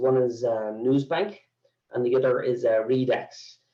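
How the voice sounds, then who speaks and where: Speaking with an Irish accent, a man uses a dark, mellow tone at a medium pitch with ordinary pitch variation. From Ireland. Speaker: sales executive for a news database company. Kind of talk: webinar presentation. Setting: online webinar. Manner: halting, many fillers.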